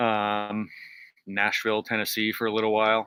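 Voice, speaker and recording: A man with an American accent speaks at a moderate pace and fairly low pitch, his tone bright and sharp, in a dry, close sound with no echo. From Massachusetts, Cape Cod. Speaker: magnet fishing stream host. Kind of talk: casual chat.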